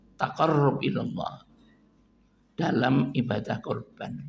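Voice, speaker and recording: Speech with a Javanese accent unfolds at a fairly slow pace. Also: man. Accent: Javanese-accented Indonesian. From East Java, Kediri. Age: 70s. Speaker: Islamic preacher and lecturer. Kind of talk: religious lecture. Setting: mosque, morning study gathering. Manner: informal, mixing Javanese.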